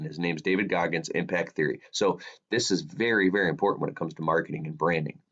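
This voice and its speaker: A man with a very deep, low pitch at a very fast pace. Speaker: social media coach. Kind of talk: tutorial. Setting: home podcast studio.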